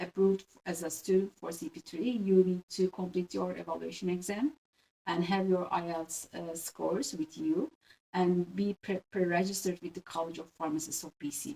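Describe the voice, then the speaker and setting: With a Turkish accent, a woman speaks at a moderate pace in a dark, mellow tone. Her medium pitch shows ordinary variation, and the sound is dry and close with no echo. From Turkey. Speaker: pharmacist. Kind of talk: interview. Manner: halting, many fillers.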